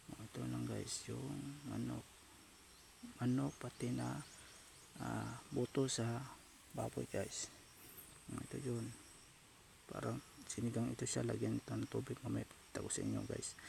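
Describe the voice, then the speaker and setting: The speaker is soft-spoken and talks at a fairly slow pace. Long, frequent pauses break up the speech. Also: man. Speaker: cooking vlogger. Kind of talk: cooking tutorial. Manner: halting.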